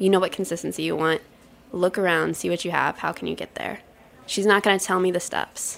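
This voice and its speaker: A woman's fairly low, fairly quick voice with vocal fry and monotone, flat intonation. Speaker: pastry chef. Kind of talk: interview conversation.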